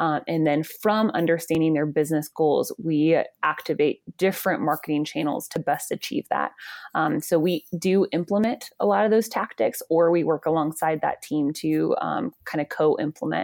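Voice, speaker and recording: In an American accent, a woman speaks at a moderate pace, with a dry, close sound that has no echo. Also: very clean recording, silent background. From Georgia, US South. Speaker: marketing agency founder and CEO. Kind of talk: interview.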